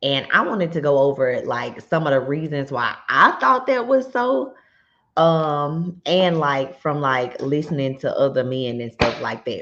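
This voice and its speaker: A woman's very deep, low voice, fairly slow, with ordinary pitch variation. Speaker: YouTuber and realtor. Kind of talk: casual vlog commentary. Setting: home garage. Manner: loud; many fillers, conversational.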